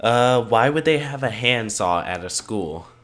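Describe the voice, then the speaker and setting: A man's medium-pitched voice comes at a fairly slow pace, with noticeable noise in the background. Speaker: gaming YouTuber. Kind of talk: let's play commentary.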